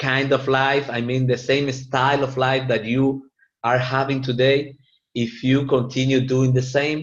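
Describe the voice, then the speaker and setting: A man speaks in a monotone with flat intonation and a medium pitch. He has a Latin American accent and a fairly slow pace. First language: Spanish. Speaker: network marketing presenter. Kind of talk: business opportunity presentation. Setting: live meeting with audience. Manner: halting.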